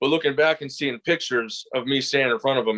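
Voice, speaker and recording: A man's normal speaking voice at a medium pitch with ordinary variation, the sound dry and close with no echo, over a quiet background. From US Midwest, Detroit area. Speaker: pro wrestler. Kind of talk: interview.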